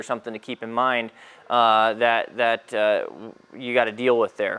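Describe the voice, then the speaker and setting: A man talking at a moderate pace. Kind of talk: tutorial. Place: workshop.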